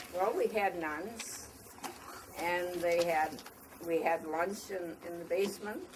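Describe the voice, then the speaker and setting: A woman's fairly low voice at a very slow pace, fairly even in intonation, with long, frequent pauses and noticeable background noise. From US Midwest, Somerset, Wisconsin. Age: 80s+. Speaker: elderly local resident. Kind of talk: oral history talk to schoolchildren. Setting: library with audience of children.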